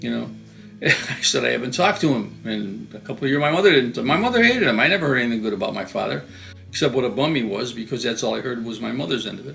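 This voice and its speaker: A man talks at a very fast pace with a Western New York accent. Music plays in the background. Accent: Western New York American. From Western New York, USA. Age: 80s+. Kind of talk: interview answer.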